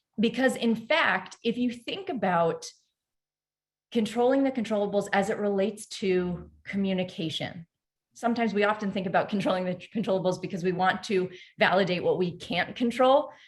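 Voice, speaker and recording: The voice has ordinary pitch variation and sounds somewhat breathy. Its pace is moderate. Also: woman, medium pitch for a woman. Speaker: performance coach, company CEO. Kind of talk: webinar masterclass presentation. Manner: animated.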